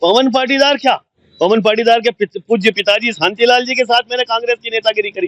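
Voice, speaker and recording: A man's extremely high-pitched, animated voice at a moderate pace, with ordinary pitch variation and a dry, close sound with no echo. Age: 60s. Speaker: veteran journalist and politician. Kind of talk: interview.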